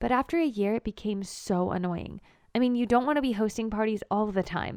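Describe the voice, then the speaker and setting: An ordinary speaking voice from a woman, fairly high in pitch with ordinary pitch variation, at a fairly quick pace, with a dry, close sound with no echo and a very clean recording with a silent background. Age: 20s. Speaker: storyteller. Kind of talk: first-person story narration.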